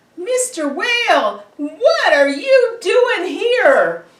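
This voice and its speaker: A squeaky, put-on character voice with an extremely high pitch and very wide pitch swings. It moves at a very slow pace with slight echo. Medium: read story.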